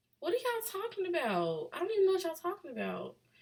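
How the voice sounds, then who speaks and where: It is a put-on character voice, squeaky and very fast. The intonation is lively. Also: woman, extremely high pitch for a woman. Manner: casual, incredulous.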